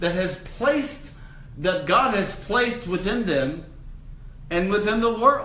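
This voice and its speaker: A man with a high pitch uses a raised, projected voice and very wide pitch swings at a fairly slow pace. Audible room echo and noticeable background noise are present. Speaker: minister teaching a spiritual course. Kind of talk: lecture. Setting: room with live audience. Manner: loud.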